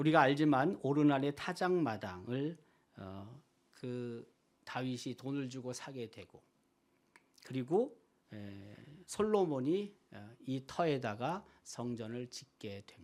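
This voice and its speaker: Speaking at a very slow pace with long, frequent pauses, a man uses a medium pitch. His intonation is lively, and his loudness swings widely. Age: 60s. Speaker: pastor. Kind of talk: sermon.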